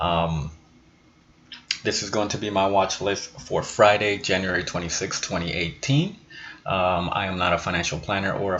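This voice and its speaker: A man talks at a moderate pace in a fairly low voice. Noticeable background noise runs behind him. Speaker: stock trading youtuber. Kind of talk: tutorial. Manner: hesitant, many fillers.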